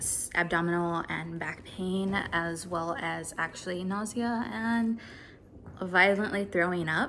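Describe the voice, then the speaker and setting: In a normal speaking voice, a woman with a fairly low pitch talks at a fairly slow pace with ordinary pitch variation over light background noise. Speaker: vlogger. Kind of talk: casual vlog chat, health update. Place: home room. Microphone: phone near.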